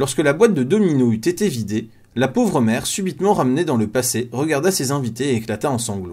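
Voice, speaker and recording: Somewhat breathy, a man talks at a fairly quick pace in a medium pitch, with very wide pitch swings. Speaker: audiobook narrator. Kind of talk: reading aloud. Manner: fast.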